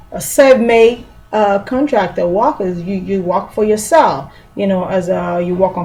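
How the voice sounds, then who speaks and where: At a fairly slow pace, a woman talks with a medium pitch and an ordinary speaking voice. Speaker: small business tax trainer. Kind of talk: tutorial.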